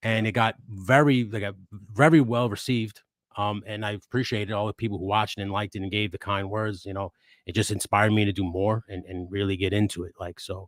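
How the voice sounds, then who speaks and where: This man talks at a very fast pace with a Queens accent, a fairly low pitch and fairly even intonation, in a dry, close sound with no echo. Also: very clean recording, silent background. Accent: New York Queens. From New York, Queens. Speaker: toy photographer and YouTuber. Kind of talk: casual chat. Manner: halting, many false starts.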